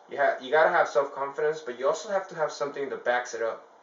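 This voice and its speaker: Over noticeable background noise, a man speaks very fast at a fairly high pitch with ordinary pitch variation. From El Salvador. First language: Spanish. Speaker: fitness vlogger. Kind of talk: motivational talk to camera. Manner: casual, halting with many fillers.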